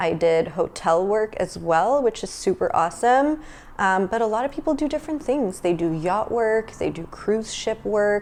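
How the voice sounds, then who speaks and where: A woman with a North American accent speaks at a moderate pace with hardly any pauses, in a fairly high voice. Her pitch swings very widely, and there is noticeable background noise. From Asia (Malaysia, South Korea, China) and Australia. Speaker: podcast co-host. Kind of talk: casual chat.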